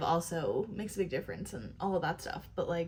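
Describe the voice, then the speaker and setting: A somewhat breathy woman's voice at medium pitch. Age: 20s. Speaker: YouTube commentator. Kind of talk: reaction commentary. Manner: casual, filler-heavy.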